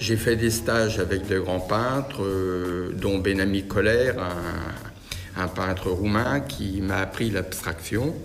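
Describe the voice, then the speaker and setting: Music plays in the background amid audible room echo as a man with a fairly low pitch speaks very slowly. He uses hardly any pauses and fairly even intonation. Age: 70s. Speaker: painter. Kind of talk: interview monologue. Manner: hesitant, many fillers.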